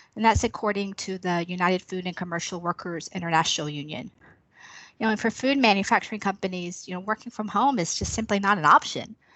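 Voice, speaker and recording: A woman with a plain, everyday voice talks at a medium pitch with ordinary pitch variation. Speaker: senior manager. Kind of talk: professional interview discussion. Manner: filler-heavy.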